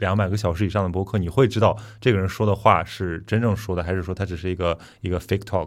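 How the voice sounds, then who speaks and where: Very fast pace with fairly even intonation. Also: man, very deep, low pitch for a man. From Qingdao, Shandong. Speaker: podcast host. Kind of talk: casual chat. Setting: studio.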